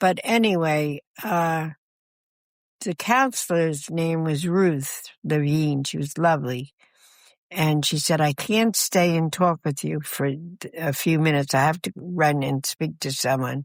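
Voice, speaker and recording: In an American accent, a woman speaks at a fairly slow pace with ordinary pitch variation. Her pitch is very deep and low, on a very clean recording with a silent background. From New Jersey. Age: 80s+. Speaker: retired hospice nurse and missionary. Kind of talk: interview storytelling. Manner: halting, with repeated words.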